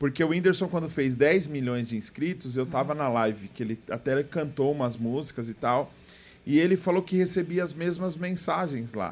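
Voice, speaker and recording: This man has a fairly high pitch and a normal speaking voice. His intonation is lively and his pace moderate. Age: 20s. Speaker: podcast host. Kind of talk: casual chat.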